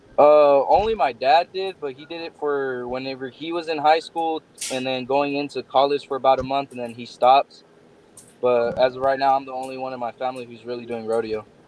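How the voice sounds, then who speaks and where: A man with an American accent at medium pitch, fairly quick in pace, fairly even in intonation, with big swings in loudness. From Texas, Odessa. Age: 20s. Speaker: bull rider. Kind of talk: interview.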